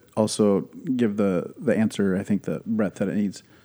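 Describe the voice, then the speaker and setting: With a normal speaking voice at a fairly low pitch, a man talks at a moderate pace with ordinary pitch variation on a very clean recording with a silent background. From Wisconsin. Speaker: pastor. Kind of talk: casual chat.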